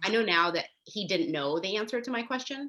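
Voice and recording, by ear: Her bright, sharp tone and lively intonation carry this woman's medium-pitched voice at a fairly quick pace.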